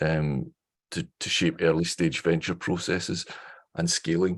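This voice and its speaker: A man with a Scottish accent speaks at a fairly quick pace. His pitch is very deep and low, and his intonation is monotone and flat. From Scotland. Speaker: professor. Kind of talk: online information session. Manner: fast.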